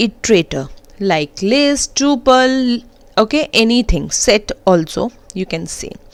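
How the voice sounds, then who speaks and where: Fairly slow speech with very wide pitch swings, in an Indian accent. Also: woman. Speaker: programming teacher. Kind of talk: tutorial.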